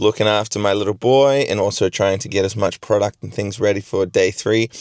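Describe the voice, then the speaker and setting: With an Australian accent, a man speaks at a fairly quick pace in a fairly low pitch and fairly even intonation, the sound dry and close with no echo. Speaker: gardening vlogger. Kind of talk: vlog. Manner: casual with fillers.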